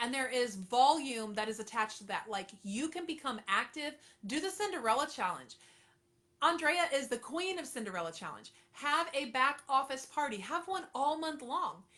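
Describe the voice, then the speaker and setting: Delivered at a moderate pace, the raised, projected voice has a bright, sharp tone and lively intonation. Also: woman. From Florida, Treasure Coast. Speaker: direct sales consultant. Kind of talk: livestream coaching talk. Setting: live stream. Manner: animated.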